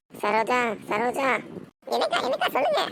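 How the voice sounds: Putting on a cartoonish character voice, a woman speaks in a high pitch at a fairly slow pace.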